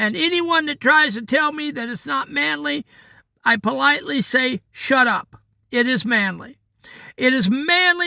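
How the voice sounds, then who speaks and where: Raising and projecting his voice, a man speaks at a fairly slow pace in an extremely high pitch with very wide pitch swings and a bright, sharp tone, the sound dry and close with no echo. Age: 60s. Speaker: daily devotional podcaster. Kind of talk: devotional talk. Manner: conversational, earnest.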